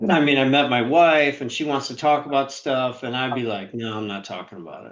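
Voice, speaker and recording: At a fairly quick pace, a man with an unremarkable speaking voice talks at a medium pitch with ordinary pitch variation and big swings in loudness. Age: 60s. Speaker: author and sales trainer. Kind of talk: interview.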